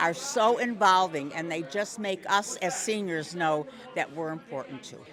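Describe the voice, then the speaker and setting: With crowd noise behind her, a woman of fairly low pitch speaks at a fairly slow pace with lively intonation. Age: 80s+. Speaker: senior Lions fan. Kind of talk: street interview. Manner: enthusiastic.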